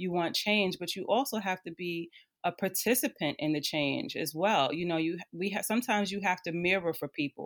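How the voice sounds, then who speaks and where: Over a very clean recording with a silent background, a woman with an American accent has an unremarkable speaking voice, medium pitch, lively intonation and a fairly quick pace. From northern New Jersey. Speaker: social work educator. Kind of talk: casual chat.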